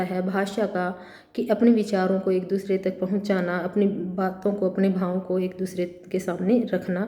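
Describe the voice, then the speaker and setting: A somewhat breathy woman's voice with a dark, mellow tone and a Haryanvi accent, audible room echo around it. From Haryana, India. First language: Haryanvi (speaking Hindi). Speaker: college lecturer. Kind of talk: lecture. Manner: halting, many fillers.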